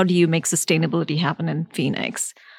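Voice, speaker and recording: A woman with a fairly low pitch and vocal fry talks at a very fast pace with ordinary pitch variation, and her dry, close sound has no echo on a very clean recording with a silent background. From India. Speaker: architect. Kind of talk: live interview at a conference. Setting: conference venue, recorded live.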